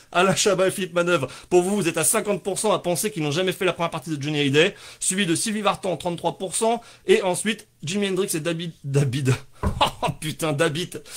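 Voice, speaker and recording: A man with a high voice, speaking fairly quickly with ordinary pitch variation. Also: very clean recording, silent background. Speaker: livestream comedy show host. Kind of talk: casual live stream chat. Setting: live stream at home with sunset backlight. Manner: fast; animated.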